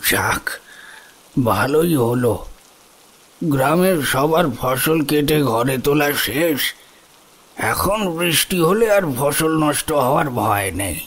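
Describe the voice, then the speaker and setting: A man's put-on character voice, fairly high and very slow. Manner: warm, hospitable.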